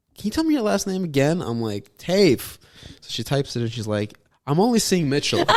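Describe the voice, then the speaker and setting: A man mumbling at a fairly quick pace, fairly high-pitched with very wide pitch swings. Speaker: comedy podcast co-host. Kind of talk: casual chat.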